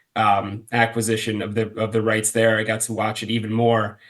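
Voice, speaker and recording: With an American accent, a man talks at a moderate pace and medium pitch in a monotone, flat intonation. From US, Baltimore. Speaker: football supporters' group founder. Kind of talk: casual interview storytelling. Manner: halting, many fillers and repeats.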